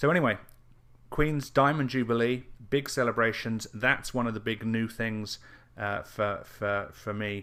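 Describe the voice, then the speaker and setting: A man with an English accent and fairly low pitch at a moderate pace, on a very clean recording with a silent background. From England. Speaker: internet marketer. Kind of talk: casual video update. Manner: halting, many fillers and repeats.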